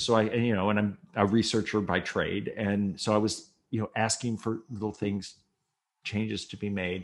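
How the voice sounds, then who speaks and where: A moderate pace in an American accent. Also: man. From Minnesota, US Midwest. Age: 60s. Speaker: retired TV news writer, memoir author. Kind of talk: casual interview storytelling. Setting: podcast interview. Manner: animated.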